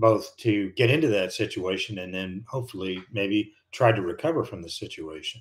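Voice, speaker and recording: A man with an American accent and a fairly low, somewhat breathy voice, with lively intonation at a moderate pace, in a very clean recording with a silent background. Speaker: retired airline and fighter pilot, flight instructor. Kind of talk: live stream chat. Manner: casual, halting with fillers.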